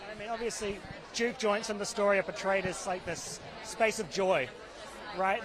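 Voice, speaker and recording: Amid crowd noise in the background, a voice with a New Zealand accent speaks at a moderate pace. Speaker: entertainment reporter. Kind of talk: red carpet interview.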